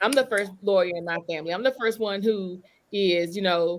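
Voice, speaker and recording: This woman speaks with a Southern US accent. Her pitch sits in the middle range and varies in an ordinary way. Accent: Southern drawl. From Eastern North Carolina. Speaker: lawyer and author. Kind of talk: panel discussion. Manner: animated.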